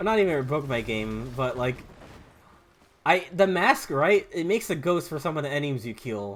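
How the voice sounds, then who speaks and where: A fairly high-pitched man at a moderate pace, with very wide pitch swings and music in the background. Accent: American. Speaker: gaming streamer. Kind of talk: casual gameplay commentary. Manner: rambling with many fillers.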